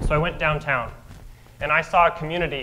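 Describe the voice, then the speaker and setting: This is a man's voice. His pitch is fairly high. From Albuquerque, New Mexico. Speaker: mayoral candidate. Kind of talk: candidate opening statement at a forum. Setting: stage with audience.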